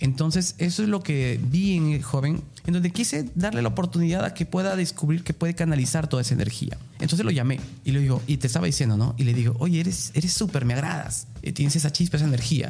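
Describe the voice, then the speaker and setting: Speaking very fast, a man with a fairly high pitch and a dark, mellow, somewhat breathy tone keeps his loudness very even while his intonation stays lively. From Peruvian provinces. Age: 30s. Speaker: tourism lecturer. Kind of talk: interview.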